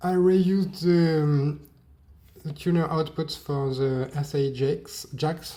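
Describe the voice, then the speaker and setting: With a French accent, a man speaks very slowly at a fairly high pitch. His tone is dark and mellow, and his intonation is fairly even. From France. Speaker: hobbyist maker. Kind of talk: tutorial. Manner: halting.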